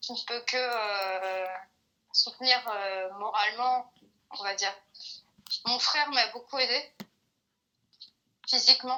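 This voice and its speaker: A woman talks at a fairly slow pace, keeping her intonation fairly even. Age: 20s. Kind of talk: interview answer. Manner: hesitant, many filler sounds.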